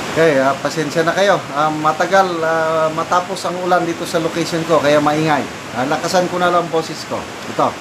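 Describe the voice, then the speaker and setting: The speaker talks at a fairly quick pace. Noticeable background noise is present. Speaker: showbiz news commentator. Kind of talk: casual news commentary. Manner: loud.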